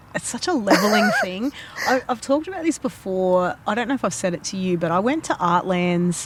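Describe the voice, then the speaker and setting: A woman talks in an Australian accent at a medium pitch, with very wide pitch swings. Noticeable background noise sits behind her. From Australia, Fijian-Australian heritage. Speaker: podcast host and artist. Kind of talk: casual chat.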